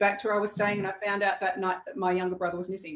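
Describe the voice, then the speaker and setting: A woman speaks with an Australian accent. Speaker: executive coach. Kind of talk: casual chat.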